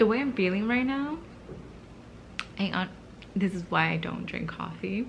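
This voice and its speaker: Long, frequent pauses mark a woman's speech, with audible room echo and noticeable background noise. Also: moderate pace. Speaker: book vlogger. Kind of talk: casual vlog. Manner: speaking low, early morning.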